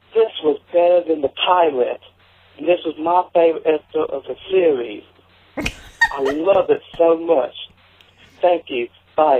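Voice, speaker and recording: With a Louisiana accent, a man speaks at a fairly slow pace with long, frequent pauses. His pitch is high, with ordinary pitch variation. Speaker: voicemail caller to podcast. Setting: phone.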